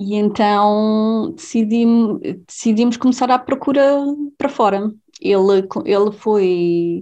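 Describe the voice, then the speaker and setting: A woman speaks very slowly in a fairly high pitch with a dark, mellow tone. Her pitch variation is ordinary and her loudness very even. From Portugal, Covilhã (interior Beira). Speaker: leukemia researcher. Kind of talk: interview. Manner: halting, many repetitions and fillers.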